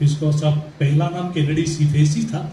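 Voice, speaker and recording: In a room with audible echo and noticeable background noise, a man speaks with a Marathi accent. His pitch is fairly high and his intonation fairly even. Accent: Marathi-accented Hindi. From Mumbai, India. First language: Marathi (speaking Hindi). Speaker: Mumbai history researcher. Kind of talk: talk at literary event. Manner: halting, with fillers.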